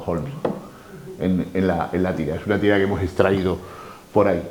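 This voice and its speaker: A man is talking, with noticeable background noise in the mix. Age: 60s. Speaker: lecturer on comics. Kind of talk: talk to a live audience.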